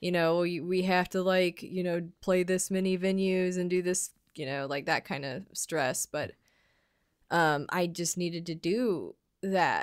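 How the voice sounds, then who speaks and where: A woman at medium pitch with ordinary pitch variation and a fairly slow pace, on a very clean recording against a silent background. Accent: American. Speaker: podcast co-host. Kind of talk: casual chat. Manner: halting.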